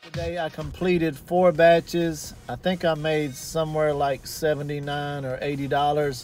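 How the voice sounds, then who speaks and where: With faint music in the background, a man speaks at a moderate pace in a monotone, flat way, the sound dry with no echo. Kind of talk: casual vlog chat. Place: car. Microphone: phone near.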